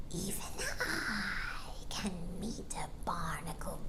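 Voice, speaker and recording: A woman's put-on character voice, whispering and hissing at a very slow pace over loud background noise. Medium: read story. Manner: slow, musing, hypnotic.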